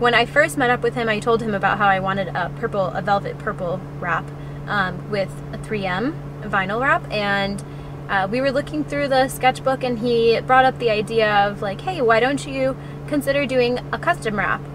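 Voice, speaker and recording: A woman speaks at a moderate pace in a dry sound with no echo, with noticeable background noise. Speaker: interview guest. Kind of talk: interview answer. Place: car. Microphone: phone near.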